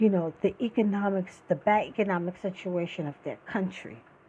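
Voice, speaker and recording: The voice has an animated tone and sounds somewhat breathy. It moves at a moderate pace. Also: woman. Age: 60s. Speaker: podcast host. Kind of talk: political commentary monologue.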